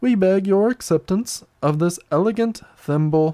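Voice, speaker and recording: Middle-pitched, moderately paced speech in a put-on character voice. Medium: read story. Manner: grave, solemn.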